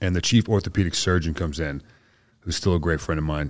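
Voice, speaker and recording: A man with a very deep, low pitch speaks at a very fast pace in an American accent, with ordinary pitch variation. The recording is very clean, with a silent background. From Boston area, US. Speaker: Green Beret soldier, amputee. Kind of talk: casual interview.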